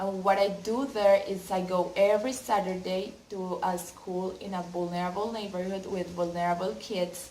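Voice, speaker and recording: A woman with a Colombian accent, medium-pitched, at a moderate pace with fairly even intonation and hardly any pauses. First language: Spanish. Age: 20s. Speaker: university student and volunteer applicant. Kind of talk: application video answering questions. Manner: halting.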